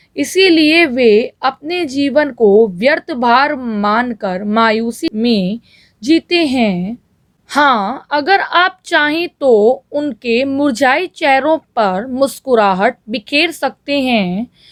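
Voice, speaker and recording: A woman speaks at a high pitch with very even loudness. The sound is dry and close, with no echo. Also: lively intonation. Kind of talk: shorthand dictation read at fixed speed. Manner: slow, evenly paced.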